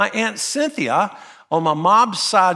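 This man's voice has a bright, sharp tone. His pitch swings very widely. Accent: Southern US. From US South, North Carolina. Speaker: pastor. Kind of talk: sermon. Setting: church.

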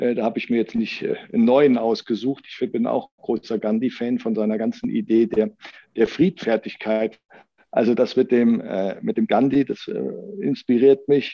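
A man talks at a moderate pace and a medium pitch, with ordinary pitch variation. His speech has long, frequent pauses. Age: 50s. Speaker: party board member, engineer. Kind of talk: podcast interview.

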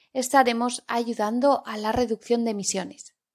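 On a very clean recording with a silent background, a woman speaks fairly slowly at a fairly high pitch in a normal speaking voice. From Spain, Zaragoza (Aragon). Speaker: Spanish teacher podcaster. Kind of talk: language-learning podcast monologue. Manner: clear, deliberate for learners.

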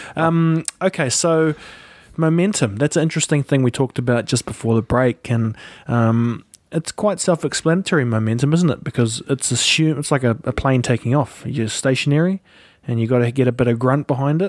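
A man with a New Zealand accent speaks fairly quickly at a medium pitch with ordinary pitch variation and very even loudness, on a very clean recording with a silent background and a dry, close sound with no echo. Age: 30s. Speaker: podcast host and video creator. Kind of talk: casual interview. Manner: animated.

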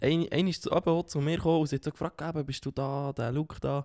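A man with an unremarkable speaking voice talks at a moderate pace, fairly high in pitch with fairly even intonation, in a dry, close sound with no echo on a very clean recording with a silent background. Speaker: podcast co-host. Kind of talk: casual chat. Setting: sitting on a sofa.

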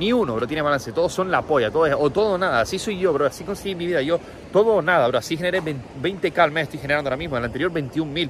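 An animated tone at a very fast pace with ordinary pitch variation. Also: man, fairly high pitch for a man. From Canary Islands, Tenerife. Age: 20s. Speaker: online entrepreneur and coach. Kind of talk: casual motivational monologue.

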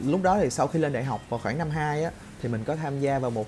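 A man with a fairly high pitch speaks at a fairly quick pace with ordinary pitch variation. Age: 20s. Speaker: YouTuber. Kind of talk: casual monologue vlog. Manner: unscripted, improvised.

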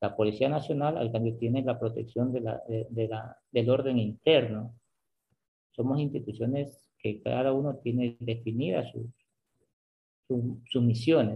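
A man speaks at a medium pitch, somewhat breathy. His pace is fairly slow and his intonation fairly even. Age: 40s. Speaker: army sergeant. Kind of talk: interview. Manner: repetitive, halting.

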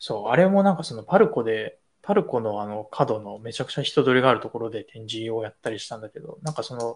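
Against a quiet background, the man's voice swings very widely in pitch. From Tokyo. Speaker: designer and video creator. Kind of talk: casual chat.

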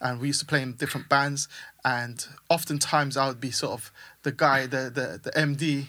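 A man's fairly high, bright, sharp voice at a fairly quick pace, monotone and flat, in a very clean recording with a silent background. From Caribbean and UK. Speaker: music producer and mentor. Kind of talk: casual interview.

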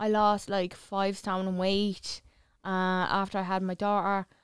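A woman speaks with an Irish accent. Her pitch is medium and her pace fairly slow. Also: very clean recording, silent background. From Ireland. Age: 30s. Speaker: model and social media personality. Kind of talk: casual chat.

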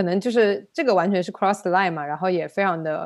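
A woman with a plain, everyday voice, medium pitch and ordinary pitch variation, against a quiet background. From China. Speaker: podcast host, data analyst. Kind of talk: casual chat.

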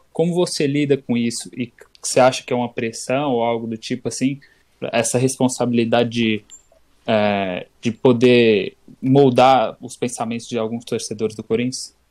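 Here is a man with an unremarkable speaking voice and a medium pitch. He talks at a moderate pace with fairly even intonation. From interior Bahia, Chapada Diamantina. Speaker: podcast co-host. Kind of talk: casual chat.

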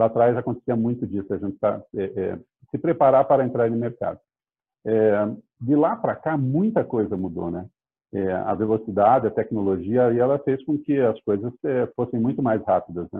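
Long, frequent pauses from a man of medium pitch, moderate pace and ordinary pitch variation. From Curitiba, Brazil. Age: 50s. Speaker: real estate startup CEO. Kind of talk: interview.

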